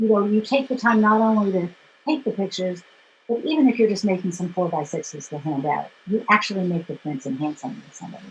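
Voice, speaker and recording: Very fast, somewhat breathy woman's speech in an American accent, with lively intonation and big swings in loudness. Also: medium pitch for a woman. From New York City. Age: 60s. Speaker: photographer and former dancer. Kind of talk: interview. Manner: halting.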